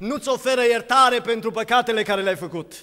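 A man's voice sits at an extremely high pitch with a bright, sharp tone and ordinary pitch variation. He talks at a fairly quick pace against a quiet background. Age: 20s. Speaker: preacher. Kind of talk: sermon. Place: church. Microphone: podium.

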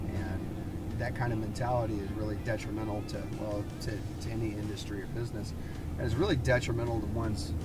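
Music runs in the background while a man talks. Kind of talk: casual conversation. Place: car.

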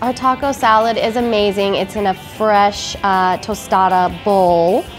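A woman speaks at a fairly slow pace with fairly even intonation over clear music in the background. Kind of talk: interview answer. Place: cafe.

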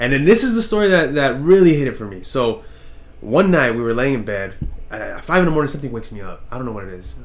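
Fast pace and lively intonation. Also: man, medium pitch for a man.

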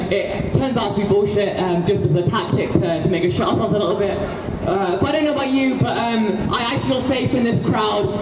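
A woman talks at a fairly quick pace amid loud background noise and audible room echo. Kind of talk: protest speech. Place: street.

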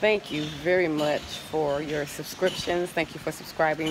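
A woman with a fairly low pitch talks at a fairly quick pace with fairly even intonation. There is light background noise. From United States. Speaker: travel vlogger and relocation consultant; travel vlogger. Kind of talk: casual walking vlog to camera. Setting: outdoors at a hotel, walking with camera. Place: garden. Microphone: phone near.

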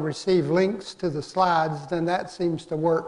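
Speech moves along at a medium tempo. The melody of the voice holds mostly level. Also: man. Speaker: course instructor. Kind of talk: lecture. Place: hall.

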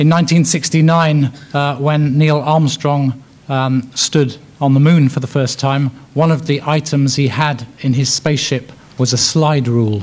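Speaking at a fairly slow pace with an English accent, a man has a fairly high pitch, fairly even intonation and very even loudness. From England. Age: 50s. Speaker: education policy expert. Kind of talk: lecture. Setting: stage with audience. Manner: hesitant with fillers. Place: hall.

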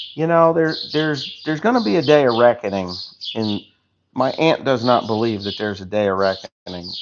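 A man's pitch swings very widely as he speaks at a moderate pace, with noticeable background noise in the recording. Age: 50s. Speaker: farmer livestreaming on YouTube; farmer vlogger. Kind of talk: casual livestream chat reading comments. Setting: outdoors on a farm. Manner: rambling, halting with many fillers. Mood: opinionated, somewhat heated. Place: garage. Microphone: phone near.

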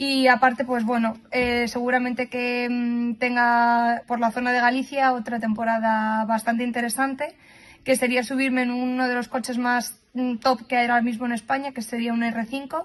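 Her voice high-pitched, a woman speaks at a moderate pace with monotone, flat intonation. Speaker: rally co-driver and nurse. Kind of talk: interview answer. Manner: hesitant, many fillers. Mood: relaxed, upbeat. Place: car. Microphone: phone near.

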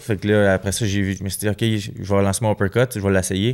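In a Quebec accent, a man with a fairly low pitch and fairly even intonation speaks against a quiet background. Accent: Québécois French. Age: 20s. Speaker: professional boxer; guest. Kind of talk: casual interview. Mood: relaxed, conversational. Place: studio. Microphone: studio mic.

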